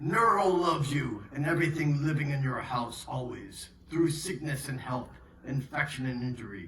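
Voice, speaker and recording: In a put-on character voice, the speaker uses a low-to-middle pitch at a moderate pace. Clear background noise and a slight echo sit around the voice. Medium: stage play. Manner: warm, jovial.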